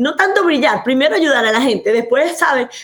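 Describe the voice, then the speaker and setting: Lively intonation runs through this woman's speech. Her tone is animated. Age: 50s. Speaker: physician and anti-aging coach. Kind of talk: interview.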